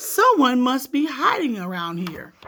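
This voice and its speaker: A woman uses a put-on character voice, high in pitch. She moves at a moderate pace with very wide pitch swings. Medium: read story.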